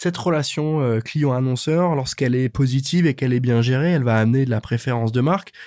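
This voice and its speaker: A man talks very fast with hardly any pauses, at a medium pitch with ordinary pitch variation. His tone is dark and mellow, his loudness very even, over a quiet background. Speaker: podcast host. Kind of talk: interview.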